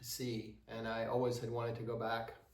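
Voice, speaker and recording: Audible room echo around a man's medium-pitched voice, moving at a moderate pace. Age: 60s. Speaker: travel vlogger sharing trip advice. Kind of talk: casual advice monologue. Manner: hesitant, many filler words.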